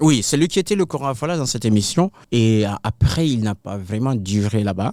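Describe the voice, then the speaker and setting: In a dark, mellow tone, a man speaks at a moderate pace with lively intonation, the sound dry and close with no echo in a very clean recording with a silent background. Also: medium pitch for a man. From Senegal. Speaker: kora player and griot. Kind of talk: interview answer.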